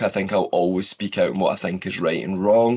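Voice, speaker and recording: A man speaks in a Scottish accent. His pace is moderate. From Scotland. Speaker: voice actor. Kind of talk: podcast interview.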